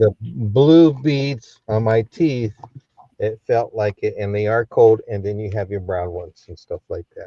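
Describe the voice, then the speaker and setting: In a dry, close recording with no echo, a man speaks at medium pitch and a fairly slow pace. His voice is somewhat breathy, with ordinary pitch variation and big swings in loudness. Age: 70s. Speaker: online auction seller. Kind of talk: live-stream sales pitch. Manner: brisk.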